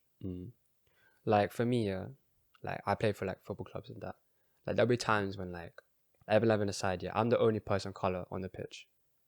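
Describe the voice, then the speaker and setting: A man with a Surrey accent talks at a fairly quick pace in a fairly low pitch, with fairly even intonation and big swings in loudness. His long, frequent pauses come through a dry, close sound with no echo. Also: very clean recording, silent background. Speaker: podcast co-host. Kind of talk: casual chat.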